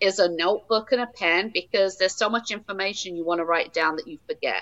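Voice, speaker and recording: In an English accent, a woman speaks at a medium pitch with ordinary pitch variation. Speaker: founder of a stillbirth support nonprofit. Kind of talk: interview.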